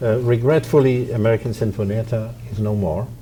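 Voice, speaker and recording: A man with a Polish accent talks at a fairly quick pace in a fairly low pitch, his intonation fairly even, over noticeable background noise. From Poland. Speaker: violin professor and orchestra founder. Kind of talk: interview.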